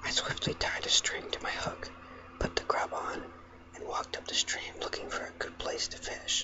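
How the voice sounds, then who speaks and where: Noticeable background noise behind a whisper at a moderate pace. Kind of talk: audiobook reading; ASMR. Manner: whispered.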